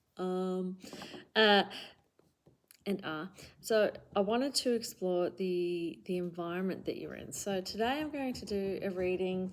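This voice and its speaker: With an Australian accent, a woman talks at a fairly slow pace and a medium pitch, leaving long, frequent pauses. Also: ordinary pitch variation. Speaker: tarot reader. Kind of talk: tarot reading monologue. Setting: home recording with camera. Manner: casual, many fillers.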